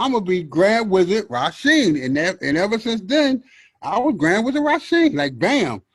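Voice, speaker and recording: Very wide pitch swings mark this man's speech. His pace is moderate. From Philadelphia, US. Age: 60s. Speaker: hip hop DJ. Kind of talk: interview.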